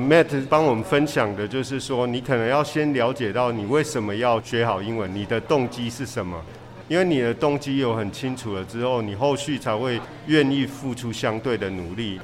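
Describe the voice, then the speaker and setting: Speech moves at a fairly quick pace with ordinary pitch variation over noticeable background noise. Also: man, medium pitch for a man. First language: Mandarin. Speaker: podcast host teaching English. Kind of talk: bilingual interview.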